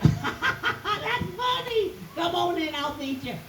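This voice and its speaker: A put-on character voice at high pitch and very slow pace comes through loud background noise with slight echo. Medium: stage play.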